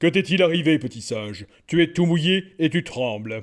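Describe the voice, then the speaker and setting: Putting on a character voice, a man speaks at a fairly high pitch. His pace is moderate. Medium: read story.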